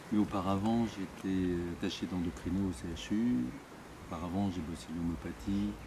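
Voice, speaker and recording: A man speaks at a moderate pace with a very deep, low pitch and ordinary pitch variation. Noticeable background noise sits behind him. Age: 60s. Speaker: doctor. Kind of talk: interview. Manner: hesitant, many fillers.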